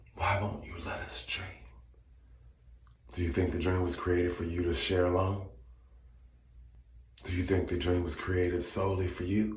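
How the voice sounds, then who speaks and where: Very deep and low, a man's voice carries ordinary pitch variation at a moderate pace, broken by long, frequent pauses, with audible room echo. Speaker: social media commentator. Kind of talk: casual chat; impassioned monologue. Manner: loud when passionate; animated.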